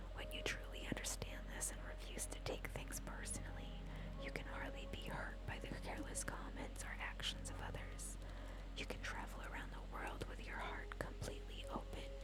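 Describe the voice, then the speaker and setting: The whisper keeps a moderate pace. Background noise is clearly noticeable. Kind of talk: ASMR whispered book reading. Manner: whispered.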